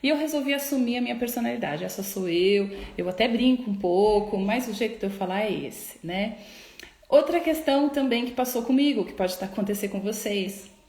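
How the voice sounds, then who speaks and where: A soft-spoken woman talks at a fairly high pitch with ordinary pitch variation. Noticeable background noise and audible room echo fill the recording. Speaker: psychologist. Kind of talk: live stream talk. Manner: slow.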